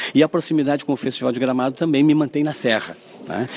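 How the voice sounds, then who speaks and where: A man is speaking. Music can be heard in the background. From southern Brazil, Caxias do Sul. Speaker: film festival curator. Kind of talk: radio interview.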